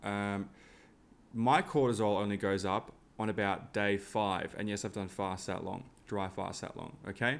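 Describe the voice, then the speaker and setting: This man talks at a fairly low pitch with ordinary pitch variation. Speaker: tinnitus program seller. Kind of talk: casual talk to camera. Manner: fast; rambling, filler-heavy.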